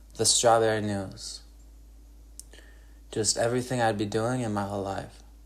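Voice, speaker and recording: A man with an American accent speaks in a monotone, flat intonation, with long, frequent pauses and audible room echo. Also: fairly low pitch for a man, moderate pace. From Wisconsin, Northwoods. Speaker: podcaster and guitarist. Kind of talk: solo monologue podcast. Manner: halting, many fillers.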